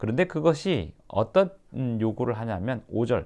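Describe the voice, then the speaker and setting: A man speaks in an unremarkable speaking voice at medium pitch. His pace is fairly quick against a quiet background. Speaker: pastor. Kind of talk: sermon-style explanation of the passage.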